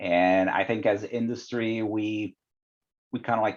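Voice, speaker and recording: Against a quiet background, a man with a non-native accent speaks with ordinary pitch variation. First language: not English. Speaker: quality director in life sciences. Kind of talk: podcast interview. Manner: hesitant, many fillers.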